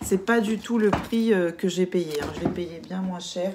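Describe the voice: At a fairly quick pace, a woman speaks with a medium pitch and a slightly mellow tone over faint background noise.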